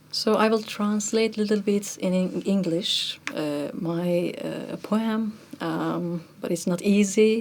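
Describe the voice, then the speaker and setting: A woman with a Turkish accent speaks at a very slow pace and a medium pitch, her pitch varying in an ordinary way over noticeable background noise. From Turkey. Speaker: musician, kamancha player. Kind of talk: interview conversation.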